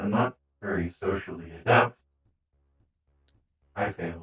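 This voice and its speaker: A man puts on a character voice at a fairly low pitch. He moves at a moderate pace. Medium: actual play. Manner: blunt, curt.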